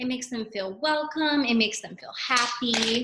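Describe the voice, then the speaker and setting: With light background noise behind her, a woman talks at a high pitch with ordinary pitch variation. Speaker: teacher. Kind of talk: read-aloud lesson to young children. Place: classroom. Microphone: webcam.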